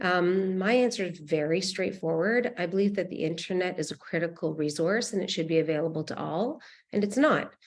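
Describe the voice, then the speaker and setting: Over a quiet background, a woman with a normal speaking voice talks at a fairly quick pace in a medium pitch. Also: ordinary pitch variation. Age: 50s. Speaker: nonprofit founder. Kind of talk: panel discussion.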